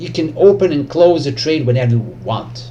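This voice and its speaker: A man speaks with a Serbian accent. Audible room echo surrounds his voice. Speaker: trading educator YouTuber. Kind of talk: tutorial. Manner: halting, many fillers.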